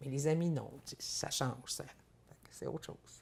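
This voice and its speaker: Her tone is dark, mellow and somewhat breathy. This woman keeps a fairly even intonation. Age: 60s. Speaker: farmer and businesswoman. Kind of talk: interview. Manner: halting, many repetitions.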